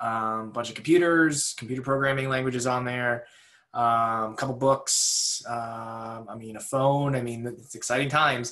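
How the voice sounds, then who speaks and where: A man's bright, sharp, medium-pitched voice with an American accent, at a moderate pace and with fairly even intonation. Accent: Boston, comes out occasionally. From New England, near Boston. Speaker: research meteorologist. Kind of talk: webinar presentation. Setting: recorded at home over video call. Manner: frequent filler words, casual.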